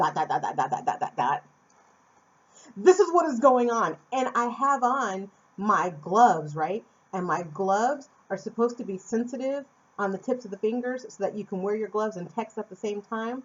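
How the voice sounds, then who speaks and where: A woman's unremarkable speaking voice at medium pitch, with an American accent, lively intonation, big swings in loudness and a moderate pace. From Phoenix, Arizona, USA. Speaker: vlogger. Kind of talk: casual talk to camera.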